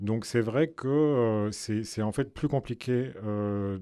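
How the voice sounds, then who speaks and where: This man has a Belgian accent and a fairly low pitch. His tone is dark and mellow, with ordinary pitch variation. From Belgium. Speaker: film director. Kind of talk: radio interview.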